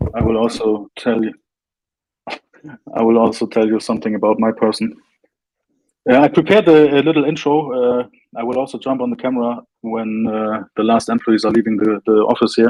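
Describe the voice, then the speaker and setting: A man with a German accent, a dark, mellow tone and a medium pitch talks at a fairly quick pace with fairly even intonation. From northern Germany, Flensburg. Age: 30s. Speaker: crypto company representative. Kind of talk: interview. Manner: halting.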